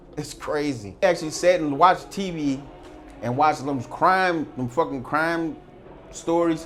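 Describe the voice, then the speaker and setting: At a moderate pace, a man with a fairly high voice speaks over noticeable background noise, his pitch varying in an ordinary way. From US Midwest, St. Louis. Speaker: former prisoner. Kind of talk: interview storytelling.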